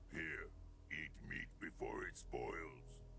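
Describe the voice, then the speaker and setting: A man performs a put-on character voice. Loud background noise runs behind him. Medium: video game. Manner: broken simple grammar.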